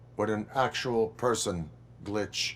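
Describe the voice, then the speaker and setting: A man's put-on character voice, fairly low in pitch, over clear background noise. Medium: video game. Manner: flat, formal, clipped.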